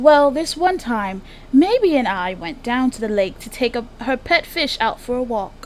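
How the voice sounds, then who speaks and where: Putting on a drawling character voice, a woman speaks at a high pitch with very wide pitch swings, big swings in loudness and a moderate pace, over clear background noise. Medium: machinima. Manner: drawling, says darling often.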